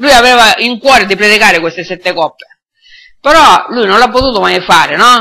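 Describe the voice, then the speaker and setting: Fairly quick speech in a man's raised, projected voice. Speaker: preacher. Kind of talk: sermon. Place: church.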